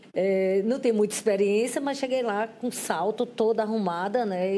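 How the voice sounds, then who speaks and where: Her tone is dark and mellow at a fairly high pitch. The woman speaks at a fairly slow pace with ordinary pitch variation. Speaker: photojournalist. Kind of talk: interview.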